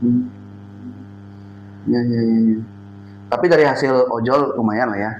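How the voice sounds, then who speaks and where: Amid audible room echo and noticeable background noise, a man with a Balinese accent speaks at medium pitch, leaving long, frequent pauses. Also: fairly even intonation. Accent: Buleleng-style Balinese. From Bali (Denpasar, Buleleng family). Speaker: podcast interviewer. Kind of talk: casual interview chat.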